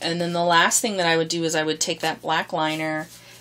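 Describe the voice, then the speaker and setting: A woman speaks with a fairly low pitch and monotone, flat intonation. Noticeable background noise runs underneath. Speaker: art tutorial creator. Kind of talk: tutorial. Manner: hesitant with many fillers; fast.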